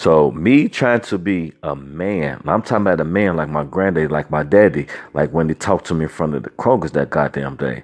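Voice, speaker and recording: With hardly any pauses, a man talks at a fairly quick pace, his very deep, low voice carrying vocal fry and ordinary pitch variation. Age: 40s. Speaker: podcast host. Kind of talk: casual monologue. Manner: animated.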